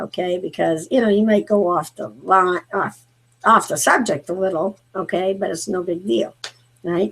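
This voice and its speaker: Vocal fry runs through this speech, which moves at a moderate pace with lively intonation. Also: woman, medium pitch for a woman. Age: 50s. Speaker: talk show host. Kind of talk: casual chat. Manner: halting, many fillers.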